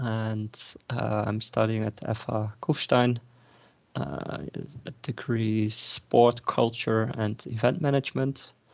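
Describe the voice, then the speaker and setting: In a Dutch accent, a man speaks very slowly at a medium pitch with fairly even intonation. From Netherlands. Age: 30s. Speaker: student. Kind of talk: interview. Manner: hesitant, many fillers.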